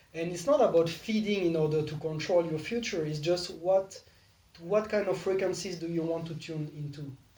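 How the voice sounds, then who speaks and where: Over noticeable background noise, the speaker moves at a fairly quick pace. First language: not English. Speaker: spiritual teacher leading a meditation game. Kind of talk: casual group conversation about spirituality.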